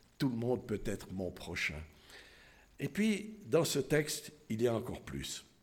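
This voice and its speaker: Using long, frequent pauses and a fairly slow pace, a man speaks with vocal fry and very wide pitch swings. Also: medium pitch for a man. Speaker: lay preacher. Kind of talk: sermon. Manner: halting.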